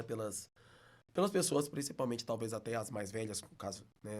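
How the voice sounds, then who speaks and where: At a fairly quick pace, a man talks in a mineiro accent. His pitch sits in the medium range. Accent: mineiro (Belo Horizonte). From Minas Gerais, Belo Horizonte. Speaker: teacher. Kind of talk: casual interview.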